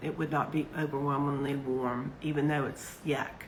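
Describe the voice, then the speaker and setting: Audible room echo surrounds a woman speaking fairly slowly in a very deep, low pitch with monotone, flat intonation. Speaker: yarn seller and craft vlogger. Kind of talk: casual chat. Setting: livestream.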